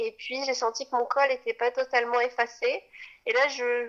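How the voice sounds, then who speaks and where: This woman's voice is high-pitched with a bright, sharp tone, and she talks at a fairly slow pace. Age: 20s. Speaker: mother sharing birth story. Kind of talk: testimony. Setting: outdoors. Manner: halting.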